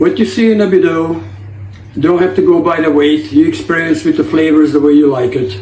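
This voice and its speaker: Talking at a fairly quick pace, a man comes through with audible room echo and noticeable background noise. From Hungary. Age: 60s. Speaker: lifestyle vlogger. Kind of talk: casual vlog talk to camera.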